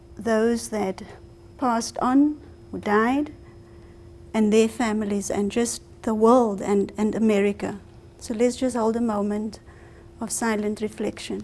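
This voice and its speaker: Fairly slow, fairly even speech in a South African accent, with long, frequent pauses. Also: woman, fairly high pitch for a woman. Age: 40s. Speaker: speaker. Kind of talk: public talk. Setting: library event with audience.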